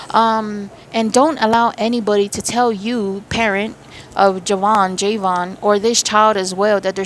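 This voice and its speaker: Noticeable background noise runs under the recording. A woman speaks at a fairly high pitch. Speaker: spiritual medium. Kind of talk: channeled spiritual reading. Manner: fast; animated.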